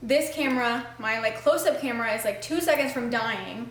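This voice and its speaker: A woman at a fairly quick pace, with ordinary pitch variation and audible room echo. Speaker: lifestyle vlogger. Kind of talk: casual cooking vlog. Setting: home kitchen. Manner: casual, chatty.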